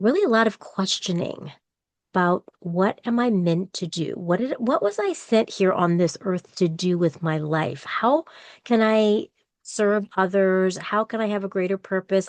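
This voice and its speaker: Recorded with a dry, close sound with no echo and a quiet background, a woman with an unremarkable speaking voice talks at a medium pitch and a fairly slow pace, with ordinary pitch variation. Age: 60s. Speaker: podcaster and university employee. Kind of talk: interview conversation.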